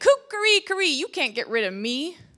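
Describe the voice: A woman uses a put-on character voice, high-pitched, bright, and sharp, with big pitch swings at a moderate pace. The recording is very clean, with a silent background.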